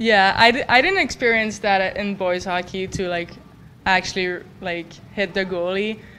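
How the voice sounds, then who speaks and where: In a French Canadian accent, a woman talks at a moderate pace and medium pitch, her intonation fairly even. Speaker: college hockey goalie. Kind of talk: press conference. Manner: halting.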